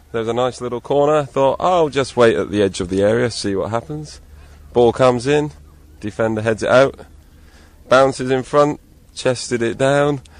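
Long, frequent pauses break up speech of moderate pace and ordinary pitch variation. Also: man, medium pitch for a man. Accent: English. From England. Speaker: amateur footballer. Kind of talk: street interview.

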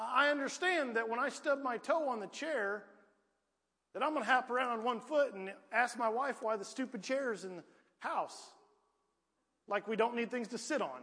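In a rural Southern US accent, a man with an extremely high pitch uses a raised, projected voice with ordinary pitch variation. He speaks at a moderate pace with long, frequent pauses. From US South, rural Piedmont. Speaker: preacher. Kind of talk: sermon. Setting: church.

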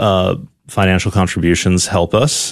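Over a quiet background, a man with an American accent speaks in a normal speaking voice, fairly low-pitched and at a fairly slow pace. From New Haven, Connecticut. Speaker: seminarian. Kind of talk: radio interview.

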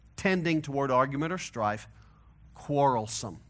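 On a very clean recording with a silent background, a man with a Missouri accent speaks at a moderate pace. His pitch is fairly high, with ordinary pitch variation. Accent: Missouri twang, Midwestern-Southern American. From US Midwest, St. Louis, Missouri. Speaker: pastor. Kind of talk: sermon. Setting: church.

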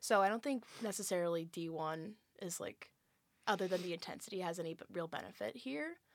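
An ordinary speaking voice talks at a fairly quick pace with lively intonation, captured in a very clean recording against a silent background. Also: woman, medium pitch for a woman. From California. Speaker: college athlete. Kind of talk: casual chat.

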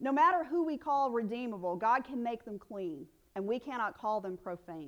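A woman with a Southern US accent speaks at a moderate pace, her fairly high voice making very wide pitch swings. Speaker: preacher. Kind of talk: sermon. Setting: church.

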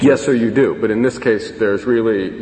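Amid noticeable background noise, a man speaks with fairly even intonation. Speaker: defense attorney. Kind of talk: appellate oral argument. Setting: courtroom. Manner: formal.

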